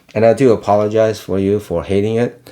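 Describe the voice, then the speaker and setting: A man with a non-native accent speaks fairly quickly in a dark, mellow tone. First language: not English. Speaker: fragrance reviewer. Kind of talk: casual chat. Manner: halting, many fillers.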